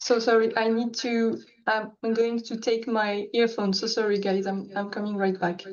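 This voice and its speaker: A woman speaks at a moderate pace in a French accent, her pitch fairly high. Her intonation stays monotone and flat. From France. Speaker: art challenge participant. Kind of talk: presentation of own artwork. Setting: video call.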